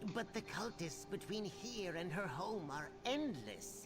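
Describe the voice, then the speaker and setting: Loud music plays in the background behind a put-on character voice. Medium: video game. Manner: worried, earnest.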